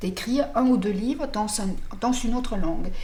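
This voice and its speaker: A woman speaks at a fairly slow pace and fairly high pitch, with audible room echo around her. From Denmark. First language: Danish (speaking French). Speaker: novelist. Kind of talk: interview. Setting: apartment in Paris. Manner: halting.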